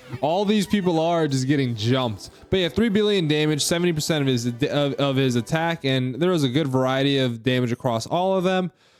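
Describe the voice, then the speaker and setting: Against noticeable background noise, a man with a fairly high pitch talks at a fairly quick pace with lively intonation, very even loudness and hardly any pauses. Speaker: gaming YouTuber. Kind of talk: game tutorial with commentary. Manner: fast; casual, conversational.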